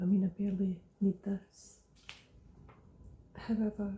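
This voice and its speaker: The voice is soft-spoken and very slow. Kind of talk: ASMR product review. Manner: slow, unhurried, semi soft-spoken.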